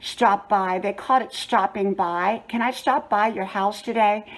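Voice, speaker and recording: A woman with an ordinary speaking voice talks at a moderate pace. Her intonation stays fairly even. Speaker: lifestyle vlogger. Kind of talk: storytelling. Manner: conversational.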